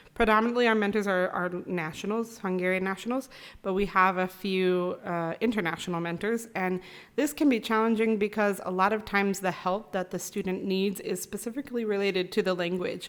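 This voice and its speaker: A woman with an American accent speaks in an ordinary speaking voice at a medium pitch and fairly quick pace, her intonation fairly even, in a very clean recording with a silent background. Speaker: university international office staff. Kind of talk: podcast interview.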